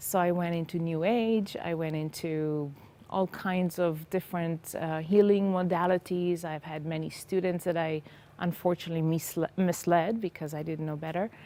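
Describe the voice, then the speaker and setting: A woman speaks in an Israeli accent at a moderate pace, her pitch fairly low. Her tone is dark and mellow, and her intonation stays fairly even. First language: Hebrew. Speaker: former psychotherapist sharing faith testimony. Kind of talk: testimony interview. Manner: halting.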